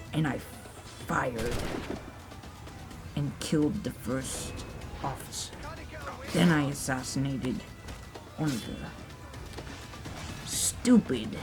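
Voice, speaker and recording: In a put-on character voice pitched low-to-middle, the speaker talks at a very slow pace over loud background noise. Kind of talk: storytelling.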